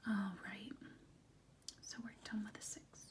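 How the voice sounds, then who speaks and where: The speaker is soft-spoken, with a gentle tone and a very slow pace. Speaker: teacher / tutor (role play). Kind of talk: role-play math lesson, tutoring a student. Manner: soft-spoken, gentle, patient.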